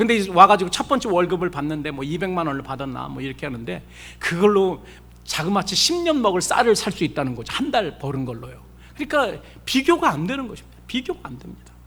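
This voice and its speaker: The voice has a bright, sharp tone and moves at a very fast pace with very wide pitch swings. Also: man, high pitch for a man, big swings in loudness. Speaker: pastor. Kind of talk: sermon.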